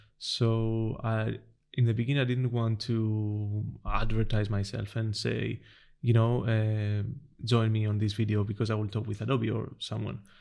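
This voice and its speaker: Using a Greek accent, a man speaks at a moderate pace in a fairly low pitch, his dark, mellow tone kept to a monotone, flat intonation. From Greece, island of Corfu. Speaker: designer. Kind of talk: casual chat. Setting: in person. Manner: hesitant, many fillers.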